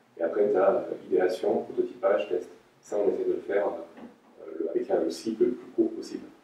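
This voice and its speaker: A man speaks at a moderate pace. Long, frequent pauses break up his speech. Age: 30s. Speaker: head of product design. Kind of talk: interview. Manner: halting, many fillers and repetitions.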